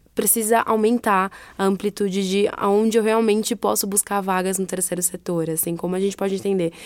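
A woman speaks at a moderate pace in a medium pitch. Hers is an unremarkable speaking voice. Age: 20s. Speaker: non-profit HR manager. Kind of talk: interview.

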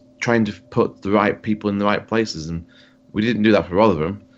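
Fairly low-pitched man in a Yorkshire accent. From Yorkshire, England. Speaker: podcast co-host, football fan. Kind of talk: casual chat, sports podcast.

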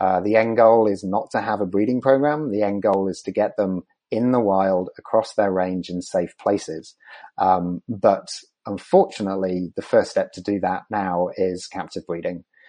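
With a Yorkshire accent, a man of fairly low pitch talks at a moderate pace with ordinary pitch variation. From northern England, Leeds. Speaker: wildlife conservationist. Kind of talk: interview.

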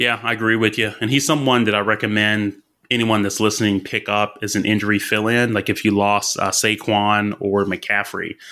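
A man with a Southern US accent, fairly low pitch and monotone, flat intonation, a bright, sharp tone, very even loudness and hardly any pauses, on a very clean recording with a silent background. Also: moderate pace. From Alabama. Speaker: fantasy football analyst. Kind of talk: casual chat. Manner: halting, many fillers.

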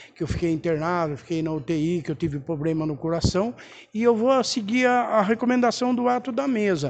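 Speech runs fairly quickly while the pitch swings very widely up and down. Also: man, high pitch for a man. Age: 50s. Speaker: city councillor. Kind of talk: press statement.

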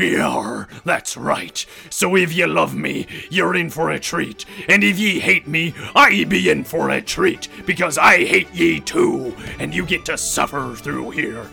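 A man does a raspy, put-on character voice. Clear music plays in the background. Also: fairly slow pace. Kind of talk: comic pirate accent. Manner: pompous, blustering, growling.

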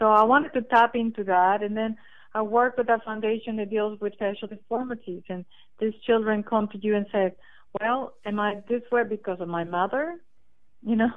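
With a Spanish accent, a woman talks at a moderate pace with ordinary pitch variation. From Costa Rica. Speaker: children's author. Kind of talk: interview.

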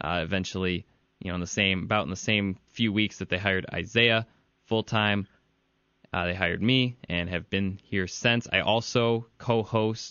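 Speaking with a Midwestern American accent, a man keeps a moderate pace, a fairly low pitch and fairly even intonation. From Michigan (Ann Arbor). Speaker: podcast host, sports writer. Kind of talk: casual chat; interview.

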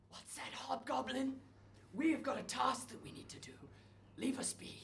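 Clear background noise sits behind a high-pitched, put-on character voice moving at a moderate pace. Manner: prim, officious, confused.

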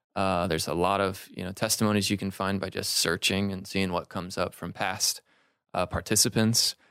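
A fairly quick, flat monotone delivery on a very clean recording with a silent background. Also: man, very deep, low pitch for a man. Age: 20s. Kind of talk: casual chat.

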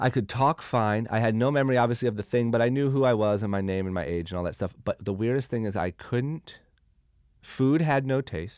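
In a normal speaking voice, a man with an American accent talks at a fairly quick pace. His pitch is medium, with ordinary variation. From Ohio, US Midwest (Akron). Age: 20s. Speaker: clothing brand founder. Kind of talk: casual interview chat.

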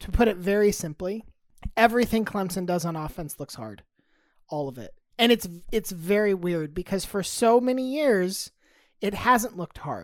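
In an unremarkable speaking voice, a woman at a medium pitch speaks at a moderate pace with lively intonation. Her loudness swings widely, and the recording is very clean with a silent background. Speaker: podcast co-host. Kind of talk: casual banter, sports talk.

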